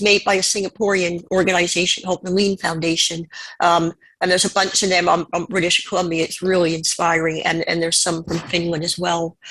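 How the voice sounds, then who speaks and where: A woman with a Canadian accent and an unremarkable speaking voice talks at a moderate pace and medium pitch. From Canada. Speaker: panelist. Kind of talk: conference presentation.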